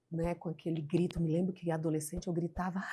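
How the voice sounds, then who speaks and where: The recording is very clean, with a silent background. A woman speaks with a fairly low pitch, a dark, mellow tone and fairly even intonation. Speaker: podcast host. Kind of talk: interview.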